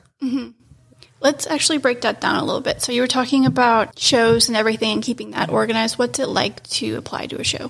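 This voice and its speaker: Soft-spoken, a woman talks at a very fast pace. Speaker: podcast host. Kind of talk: interview.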